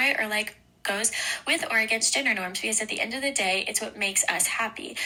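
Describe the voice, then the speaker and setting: Over noticeable background noise, a woman with an American accent speaks at a very fast pace in a fairly high pitch with ordinary pitch variation. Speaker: university student. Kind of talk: class presentation read from script. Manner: soft-spoken, gentle.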